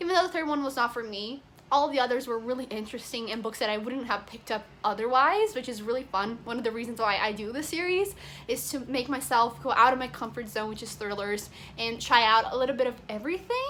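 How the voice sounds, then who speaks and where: A woman with a non-native accent speaks at a very fast pace. Her voice is high, with ordinary pitch variation. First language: not English. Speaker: book vlogger. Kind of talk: casual vlog review. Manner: animated.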